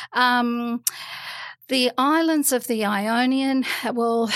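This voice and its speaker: A woman with an Australian accent. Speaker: guest with Greek heritage. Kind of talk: casual chat. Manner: hesitant, many ums.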